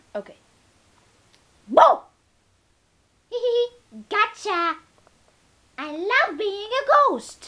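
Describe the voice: A put-on character voice at an extremely high pitch speaks at a very slow pace. Long, frequent pauses break up the speech.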